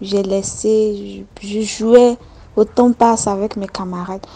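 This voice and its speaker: Speaking with an Ivorian accent, a woman uses a fairly high pitch and fairly even intonation. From Côte d'Ivoire, village. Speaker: listener telling a personal story. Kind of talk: testimony.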